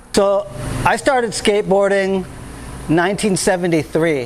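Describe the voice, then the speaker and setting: Amid noticeable background noise, a man with an American accent speaks at a high pitch with ordinary pitch variation. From California, Santa Cruz. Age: 50s. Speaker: skateboarding video host. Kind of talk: casual monologue. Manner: animated.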